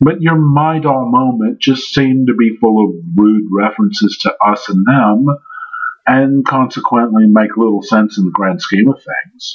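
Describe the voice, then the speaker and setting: This man talks at a fairly slow pace. His pitch sits in the medium range. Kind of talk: scripted commentary response video. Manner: sarcastic.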